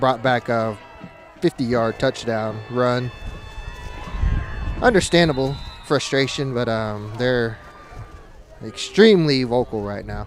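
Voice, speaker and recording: Noticeable background noise sits behind a man with a medium pitch and ordinary pitch variation. He talks at a fairly slow pace with long, frequent pauses. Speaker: sports play-by-play commentator. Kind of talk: live commentary.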